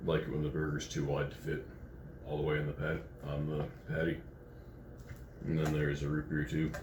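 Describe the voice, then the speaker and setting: A man with a very deep, low pitch talks at a fairly quick pace in a monotone, flat way, keeping his loudness very even. Long, frequent pauses break his speech, and audible room echo surrounds it. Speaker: food review vlogger. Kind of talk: casual vlog commentary. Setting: hotel room. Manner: halting, many fillers.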